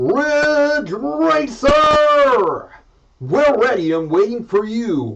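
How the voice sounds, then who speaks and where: A man uses a put-on character voice at an extremely high pitch. He speaks at a very slow pace. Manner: energetic, announcer-style.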